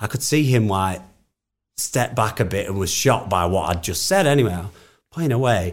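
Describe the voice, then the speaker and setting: With a northern English accent, the speaker uses lively intonation at a moderate pace, broken by long, frequent pauses. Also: man, fairly low pitch for a man. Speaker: musician. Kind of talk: casual interview chat.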